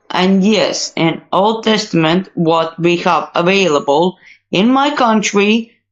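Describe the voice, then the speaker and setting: Very slowly, a woman speaks with lively intonation. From Latvia. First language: Latvian and Russian. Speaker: online discussion participant. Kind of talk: casual debate. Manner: halting.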